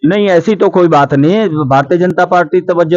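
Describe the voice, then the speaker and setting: This man speaks with a high pitch. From Saharanpur, Uttar Pradesh. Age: 70s. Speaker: senior politician. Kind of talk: interview.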